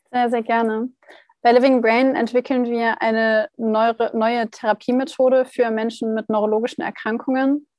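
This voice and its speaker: A woman talks at a moderate pace and a fairly high pitch. Her intonation is monotone and flat, and the sound is dry and close with no echo. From northern Germany, Hannover. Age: 20s. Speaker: startup founder. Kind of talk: casual interview. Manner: hesitant with many fillers.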